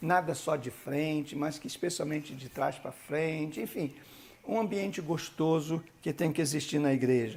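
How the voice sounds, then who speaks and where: This man's voice is fairly high, and he speaks at a moderate pace. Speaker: bishop, church leadership teacher. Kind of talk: lecture.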